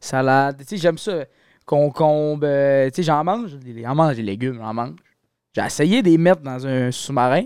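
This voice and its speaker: In a very clean recording with a silent background, a man with a fairly high voice speaks at a moderate pace with ordinary pitch variation and long, frequent pauses. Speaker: university student. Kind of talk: casual chat. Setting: studio.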